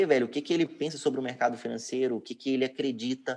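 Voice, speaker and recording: With ordinary pitch variation, a man's voice sits fairly high. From Minas Gerais, Brazil (Betim). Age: 20s. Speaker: digital marketing entrepreneur. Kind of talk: casual interview. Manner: halting, frequent word repetitions.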